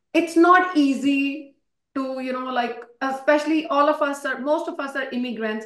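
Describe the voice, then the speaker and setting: In a room with audible echo, a woman with a high pitch speaks in an animated tone at a moderate pace with ordinary pitch variation. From India. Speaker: nursing exam instructor. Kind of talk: online class lecture.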